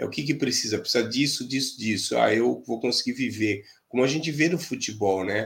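Fairly quick, somewhat breathy speech from a man at a medium pitch. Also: ordinary pitch variation. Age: 50s. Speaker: futsal fitness coach. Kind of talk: casual interview.

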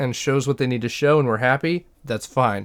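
In a very clean recording with a silent background, a man with an unremarkable speaking voice talks at medium pitch with ordinary pitch variation. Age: 20s. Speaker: podcast co-host. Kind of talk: casual chat.

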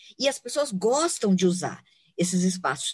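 A woman's somewhat breathy voice moves along at a fairly slow pace. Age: 50s. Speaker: environmental consultant. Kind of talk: interview conversation. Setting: outdoors in a park.

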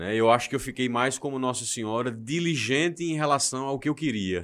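With a plain, everyday voice at medium pitch, this man uses lively intonation in a very clean recording with a silent background. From João Pessoa, Paraíba, northeast Brazil. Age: 30s. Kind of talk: casual chat.

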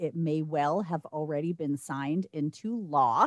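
In an American accent, a woman with an unremarkable speaking voice talks at a moderate pace with ordinary pitch variation, in a dry, close sound with no echo. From Staten Island, New York. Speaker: podcast co-host. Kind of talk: casual chat.

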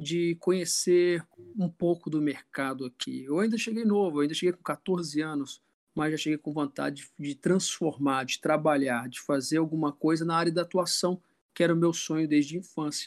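A man's normal speaking voice, fairly high in pitch with ordinary variation, at a moderate pace in a dry, close sound with no echo. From Brazil, grew up moving between Rio, Belo Horizonte and Natal. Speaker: film director, actor and acting teacher. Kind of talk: casual interview chat.

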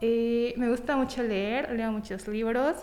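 High pitch and fairly even intonation in a woman's speech. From Mexico, Tampico, Tamaulipas. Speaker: small business owner, baker. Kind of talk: interview.

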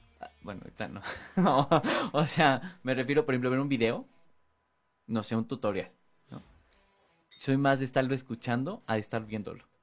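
Music plays in the background as a man speaks at a moderate pace and medium pitch, with ordinary pitch variation. His loudness swings widely, and he takes long, frequent pauses. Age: 20s. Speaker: radio host. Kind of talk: casual chat.

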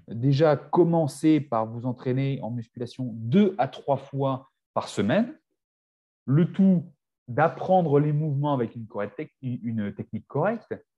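This voice has a dark, mellow tone and is somewhat breathy, moving at a very slow pace with lively intonation. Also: man, fairly high pitch for a man. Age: 40s. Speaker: naturopath and nutrition coach. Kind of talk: casual chat.

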